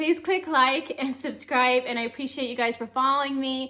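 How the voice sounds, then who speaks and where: Raised and projected, a woman's high-pitched voice has a bright, sharp tone. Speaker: vlogger, homeschooling mom. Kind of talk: casual vlog chat. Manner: fast.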